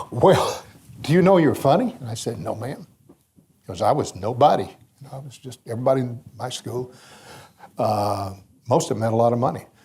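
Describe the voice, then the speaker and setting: With an American accent, a man of medium pitch talks at a fairly quick pace in a dark, mellow, somewhat breathy tone, with lively intonation, big swings in loudness and long, frequent pauses. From US South, Mississippi Delta. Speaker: radio broadcaster. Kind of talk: anecdotal storytelling. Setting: banquet stage with audience.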